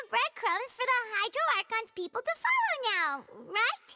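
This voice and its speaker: Someone puts on a squeaky character voice. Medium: video game. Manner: informal, cheeky.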